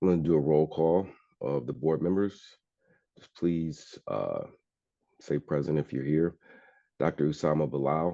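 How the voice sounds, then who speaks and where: A dark, mellow tone with big swings in loudness, ordinary pitch variation and long, frequent pauses. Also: man, very deep, low pitch for a man, moderate pace. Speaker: board chair. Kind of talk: public meeting.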